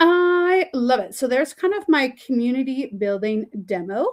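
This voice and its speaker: Speaking in a normal speaking voice with a Canadian accent, a woman uses lively intonation at a moderate pace. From Canada. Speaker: teacher and webinar facilitator. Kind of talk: webinar tutorial. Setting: online webinar.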